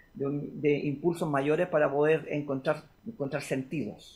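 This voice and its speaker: Fairly high-pitched and somewhat breathy, this is a man's voice. He speaks at a fairly slow pace. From Chile. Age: 60s. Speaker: guitarist and music producer. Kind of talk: interview. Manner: halting, with frequent repetitions.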